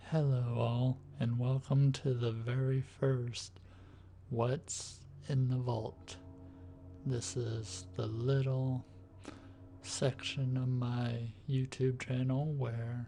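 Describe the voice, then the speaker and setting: A soft-spoken voice at a very slow pace with fairly even intonation and music in the background. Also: man, medium pitch for a man. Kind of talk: ASMR show-and-tell, tapping.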